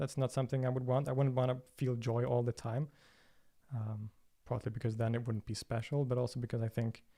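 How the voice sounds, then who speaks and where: Speaking with a Swedish accent, a man uses a dark, mellow tone that is somewhat breathy, at a fairly quick pace with monotone, flat intonation. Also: medium pitch for a man. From Sweden, Stockholm. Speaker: religion and philosophy video creator. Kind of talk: livestream Q&A. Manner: hesitant, many fillers and repetitions.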